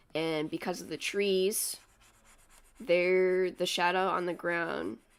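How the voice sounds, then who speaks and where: A soft-spoken voice comes through in a very clean recording with a silent background. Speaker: streamer. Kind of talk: casual chat. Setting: home livestream in small house. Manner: halting.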